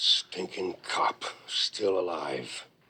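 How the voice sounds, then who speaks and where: A man puts on a character voice. It sounds raspy. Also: very deep, low pitch for a man. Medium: short film. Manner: menacing, bossy.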